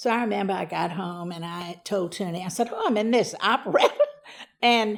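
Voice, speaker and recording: A woman speaks at a moderate pace and medium pitch, with vocal fry and an American accent. The recording is very clean, with a silent background. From US South, Louisiana (Church Point). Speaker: interviewee telling her life story. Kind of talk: life story interview. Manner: loud.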